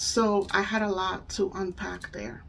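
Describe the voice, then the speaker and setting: A woman's medium-pitched voice with ordinary pitch variation and a Spanish accent. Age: 30s. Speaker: spiritual coach and EFT tapping practitioner. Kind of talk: casual talk to camera. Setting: home. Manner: halting.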